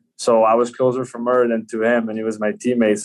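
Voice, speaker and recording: Fairly quick, monotone, flat speech in a Quebec accent. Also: man. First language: French. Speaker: professional ice hockey player. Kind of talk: podcast interview.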